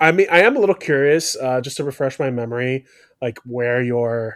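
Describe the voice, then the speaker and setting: An ordinary speaking voice from a man, delivered at a moderate pace. His intonation is lively. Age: 30s. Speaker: podcast host and former teacher. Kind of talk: casual chat.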